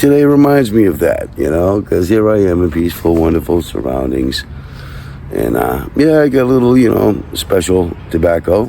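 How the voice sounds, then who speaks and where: A man's very deep, low voice at a moderate pace, with very wide pitch swings and noticeable background noise. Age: 60s. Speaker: army veteran vlogger. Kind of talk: casual monologue vlog. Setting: outdoors in a downtown park. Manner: rambling with repetitions and hesitations.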